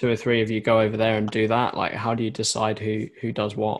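A man speaks with an English accent at a moderate pace. His fairly low voice stays monotone and flat. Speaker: podcast host. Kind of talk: interview.

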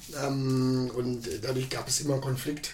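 A man at medium pitch and a very slow pace, with audible room echo and noticeable background noise. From Lower Saxony, Germany. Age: 40s. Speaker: podcast guest, bar owner. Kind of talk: casual interview conversation.

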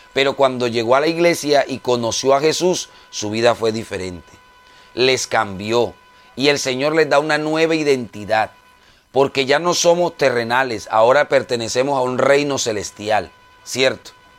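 A man talks at a moderate pace with a medium pitch and ordinary pitch variation. Noticeable background noise runs behind him. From Colombia. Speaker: preacher. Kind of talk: sermon. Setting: radio broadcast.

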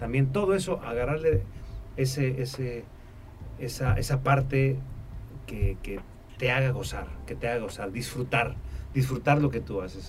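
With audible room echo, a man at a medium pitch speaks at a fairly slow pace with ordinary pitch variation and long, frequent pauses. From Mexico, Tampico, Tamaulipas. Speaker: musician and music producer. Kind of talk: interview. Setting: studio.

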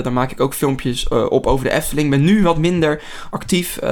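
A man at a fairly high pitch and fairly quick pace, ordinary pitch variation, noticeable background noise. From Netherlands, near Rotterdam. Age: 20s. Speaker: podcast host. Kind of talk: casual chat.

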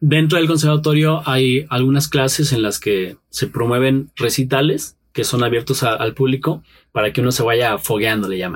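This voice is moderate in pace. It sounds somewhat breathy and has ordinary pitch variation. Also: man, medium pitch for a man. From Mexico, Pachuca and State of Mexico. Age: 30s. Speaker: musician, guitarist. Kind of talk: interview.

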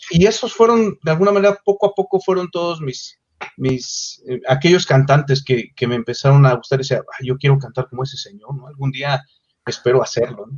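In a Mexico City accent, a man with a fairly high pitch speaks in a somewhat breathy voice with lively intonation. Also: fairly quick pace. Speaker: singer. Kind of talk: interview.

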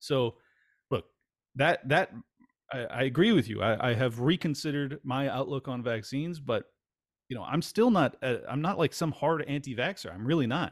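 With an American accent and an ordinary speaking voice, a man at a fairly high pitch speaks at a moderate pace with lively intonation on a very clean recording with a silent background. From California. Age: 40s. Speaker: podcast host. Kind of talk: casual chat.

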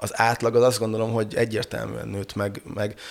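Recorded very cleanly against a silent background, a man talks at a moderate pace and medium pitch. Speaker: brewer and pub owner. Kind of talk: casual chat. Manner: halting.

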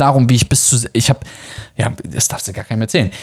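A man is speaking, and his pitch varies in an ordinary way. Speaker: travel podcast host and online course seller. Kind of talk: promotional monologue. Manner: many filler hesitations.

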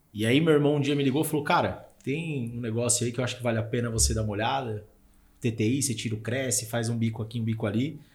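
The man talks at a very fast pace. His voice is somewhat breathy. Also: medium pitch for a man, fairly even intonation. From Brazil, São Paulo (Zona Leste). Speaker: podcast host, real estate. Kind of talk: casual chat.

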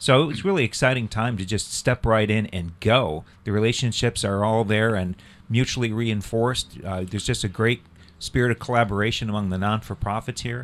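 A man talks in a plain, everyday voice at a medium pitch. His pace is fairly quick, with ordinary pitch variation. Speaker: clergy cyclist on sabbatical. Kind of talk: radio interview, casual chat.

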